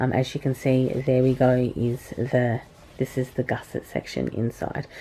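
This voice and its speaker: A woman speaks in an Australian accent with a dark, mellow tone. Her pace is fairly slow. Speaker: product reviewer, video blogger. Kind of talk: product review. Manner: hesitant, many filler words.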